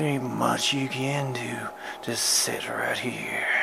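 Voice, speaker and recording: Through loud background noise, a man whispers in a put-on character voice at a very slow pace. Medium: solo performance.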